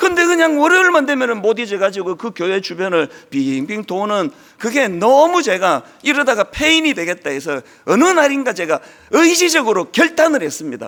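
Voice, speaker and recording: An animated man speaks at a moderate pace. His extremely high pitch swings very widely. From rural South Korea. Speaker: pastor. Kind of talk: sermon.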